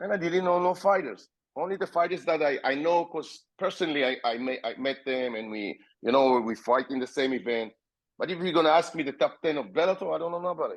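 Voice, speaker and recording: A man's fairly high voice in an Israeli accent, very fast and with lively intonation, over a quiet background. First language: Hebrew. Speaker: MMA fighter and promoter. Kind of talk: podcast interview.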